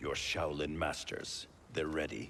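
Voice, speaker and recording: Over clear background noise, a man uses a put-on character voice with a very deep, low pitch and a fairly slow pace. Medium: video game. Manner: blunt, guarded.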